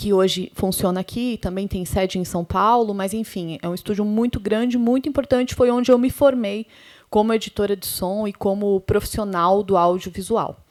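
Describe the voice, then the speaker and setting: Moderately paced female speech: an unremarkable speaking voice at a medium pitch, its pitch variation ordinary. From interior of Paraná, Brazil. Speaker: sound editor and professor. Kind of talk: panel talk.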